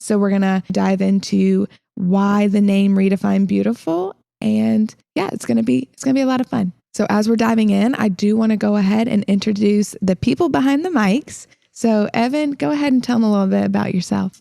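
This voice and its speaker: A woman in a slight Southern US accent talks at a fairly quick pace with lively intonation, her medium-pitched voice dark and mellow, the sound dry and close with no echo. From Illinois, then South Carolina most of life. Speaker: podcast host, fitness coach. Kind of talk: casual chat.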